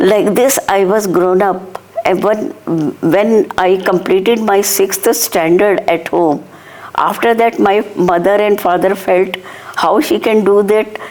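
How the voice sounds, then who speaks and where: Speaking very slowly, a woman holds a very even loudness at a medium pitch with ordinary pitch variation, and there is noticeable background noise. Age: 60s. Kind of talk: interview.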